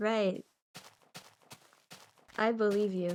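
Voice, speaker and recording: This put-on character voice is robotic and female-sounding, medium in pitch, with monotone, flat intonation. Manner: deadpan.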